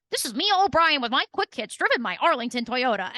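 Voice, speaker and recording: Talking at a very fast pace, a woman puts on a high-pitched character voice with very wide pitch swings. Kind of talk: broadcast announcer delivery. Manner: mocking, polished.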